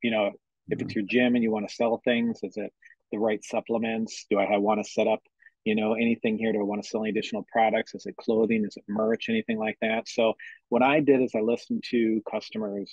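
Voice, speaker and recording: A man with an American accent talks at a very fast pace in a flat monotone, the sound dry with no echo over a quiet background. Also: medium pitch for a man. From Minnesota, US. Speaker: entrepreneur, military veteran; podcast guest. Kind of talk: interview. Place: office. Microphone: webcam.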